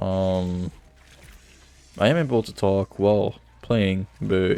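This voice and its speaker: A man speaks with a strong French Canadian accent. His pitch is fairly low. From Quebec. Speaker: gaming streamer. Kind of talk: casual chat. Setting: recording while playing a game. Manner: casual, distracted with hesitations.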